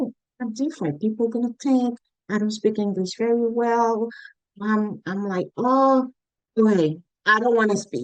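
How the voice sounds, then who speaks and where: A woman with a Caribbean accent speaks fairly slowly at a fairly high pitch. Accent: foreign accent, Caribbean. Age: adult, came as adult. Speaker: Caribbean immigrant interviewee. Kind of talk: interview testimony.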